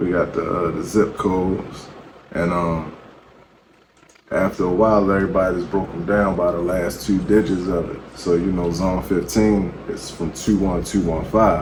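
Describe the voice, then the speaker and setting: Quiet and monotone, a man speaks with a very deep, low pitch amid audible room echo and noticeable background noise. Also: moderate pace. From Baltimore, Maryland, US. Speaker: battle rapper. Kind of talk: interview.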